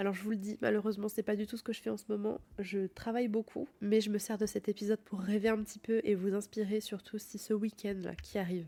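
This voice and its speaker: A woman talks at a medium pitch and a fairly quick pace, with hardly any pauses. Her tone is dark and mellow, and her intonation is monotone and flat. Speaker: podcast host. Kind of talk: casual podcast talk. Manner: soft-spoken, cosy.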